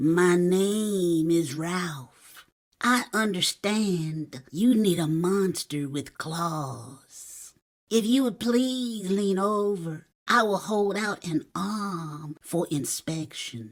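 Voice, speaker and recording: A female-sounding voice does a put-on character voice at a middle pitch and a very slow pace. The recording is very clean, with a silent background. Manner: polite, smooth.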